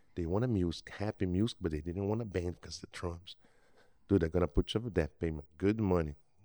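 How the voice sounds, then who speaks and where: Speaking with a Brazilian accent, the man has a very deep, low pitch. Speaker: working musician. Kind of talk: casual chat.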